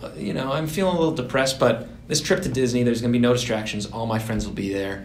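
A man with an American accent speaks with ordinary pitch variation, audible room echo, and light background noise. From Massachusetts. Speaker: digital advertising worker; podcast co-host. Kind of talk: casual chat. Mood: earnest, reflective about mental health. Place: meeting room. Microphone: camera far.

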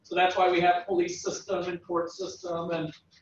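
At a moderate pace, a man speaks at a high pitch amid audible room echo. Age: 40s. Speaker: economics professor. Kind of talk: lecture. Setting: classroom with students. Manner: halting. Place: classroom. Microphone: camera far.

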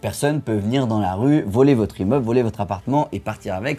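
A man speaks in an animated tone. Faint music plays in the background. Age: 20s. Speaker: real estate investor and YouTuber; YouTuber. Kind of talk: educational video monologue. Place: home room. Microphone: studio mic.

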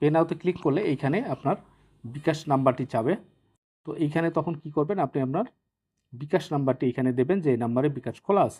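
This man has a fairly high pitch with ordinary variation. His tone is dark and mellow. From Bangladesh, Naogaon. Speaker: YouTube tech tutorial creator. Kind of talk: screen-recorded tutorial. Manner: halting, with frequent pauses.

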